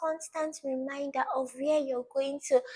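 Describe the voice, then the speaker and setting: A woman's high-pitched voice with a Nigerian accent, at a moderate pace. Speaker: study tips vlogger. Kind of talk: motivational talk to camera. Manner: repetitive, earnest.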